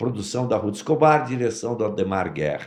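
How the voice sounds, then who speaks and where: With vocal fry at a medium pitch, a man speaks using lively intonation. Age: 70s. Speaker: actor and voice actor. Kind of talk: interview. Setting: studio.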